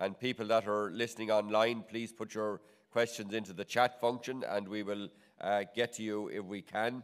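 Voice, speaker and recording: A man speaks with an Irish accent. His pitch sits in the medium range. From Ireland. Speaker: agricultural research director and seminar chair. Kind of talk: conference opening remarks. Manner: halting, many fillers and repetitions.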